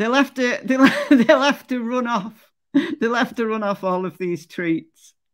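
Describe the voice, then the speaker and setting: In a Lancashire accent, the voice moves at a fairly slow pace with ordinary pitch variation, on a very clean recording with a silent background. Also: woman, fairly high pitch for a woman. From northern England. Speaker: true crime YouTuber. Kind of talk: casual livestream commentary. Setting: livestream. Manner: chatty.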